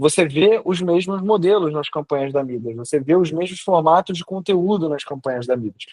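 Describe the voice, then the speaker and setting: This man has a normal speaking voice with a fairly high pitch and ordinary pitch variation. He keeps a moderate pace with hardly any pauses. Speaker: online class teacher on personal branding. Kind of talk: lecture. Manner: casual, slangy.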